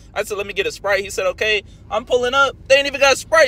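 In a dry recording with no echo, a man speaks in a raised, projected voice. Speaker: food reviewer. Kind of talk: casual vlog chat. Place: car. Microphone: phone near.

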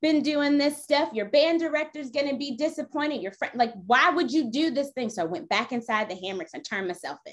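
Against a quiet background, a woman talks at a fairly quick pace in a high voice. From US, military family (moved around). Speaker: political candidate and attorney. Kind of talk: interview. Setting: video call. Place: home room. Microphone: video call.

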